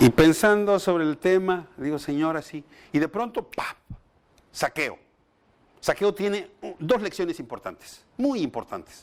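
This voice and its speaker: Speaking at a fairly slow pace with lively intonation, the voice comes through on a very clean recording with a silent background. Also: man, high pitch for a man. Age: 60s. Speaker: pastor / bible teacher. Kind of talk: bible study lecture.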